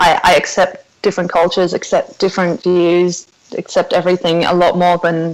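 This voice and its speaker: Her voice sits fairly low in pitch. The woman talks at a moderate pace. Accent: Australian. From South Africa. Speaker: podcast guest. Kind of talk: casual interview.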